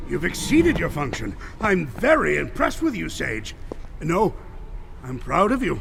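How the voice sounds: A man puts on a character voice with vocal fry, fairly high pitch, very wide pitch swings and a fairly slow pace, while clear music plays in the background.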